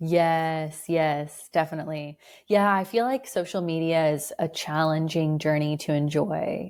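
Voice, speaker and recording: A woman's very deep, low voice with an American accent, fairly slow yet with hardly any pauses, very even in loudness, on a very clean recording with a silent background. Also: ordinary pitch variation. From California, US. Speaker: writer. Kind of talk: casual chat.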